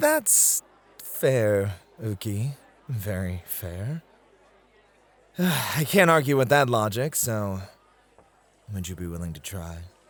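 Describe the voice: Using a put-on character voice, a man speaks slowly at a fairly low pitch, with big pitch swings and long, frequent pauses.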